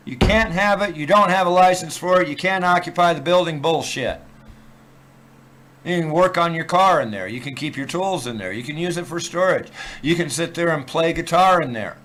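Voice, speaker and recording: The delivery has ordinary pitch variation at a moderate pace. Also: man, high pitch for a man. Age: 60s. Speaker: live streamer. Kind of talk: casual rant on live stream. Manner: animated.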